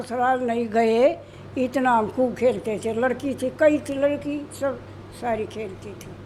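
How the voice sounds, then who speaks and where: With noticeable background noise behind her, a woman speaks at a high pitch with fairly even intonation and big swings in loudness. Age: 80s+. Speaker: masters athlete. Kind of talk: interview answer.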